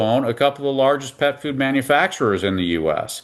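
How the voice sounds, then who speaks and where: A man with an American accent has an unremarkable speaking voice at a medium pitch. He talks at a moderate pace with lively intonation. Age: 60s. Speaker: veterinarian. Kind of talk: interview.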